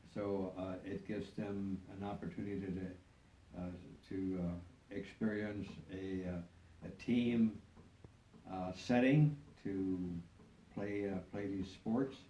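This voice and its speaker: With a dark, mellow tone and fairly low pitch, a man speaks at a very slow pace, leaving long, frequent pauses. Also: fairly even intonation. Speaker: custodian and handyman. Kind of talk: interview answer. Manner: hesitant, halting.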